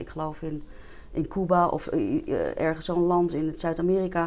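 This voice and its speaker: A woman talks in an ordinary speaking voice at a fairly low pitch. Her pace is fairly slow. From Netherlands, Diemen near Amsterdam. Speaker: entrepreneur and vitality coach. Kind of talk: interview. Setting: studio.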